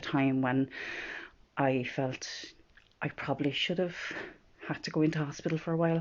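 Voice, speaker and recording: With a strong Irish midlands accent, a woman speaks at a moderate pace in a very deep, low pitch and monotone, flat intonation. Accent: strong rural Irish midlands. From Ireland, Offaly. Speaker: vlogger. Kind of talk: personal vlog about mental health. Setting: filming at home in bedroom. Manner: casual, hesitant with fillers.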